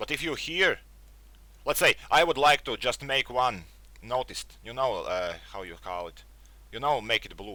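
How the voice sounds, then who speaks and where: Talking at a moderate pace, a man speaks with a non-native accent. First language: not English. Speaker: tech youtuber. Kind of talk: casual review monologue. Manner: halting, searches for words.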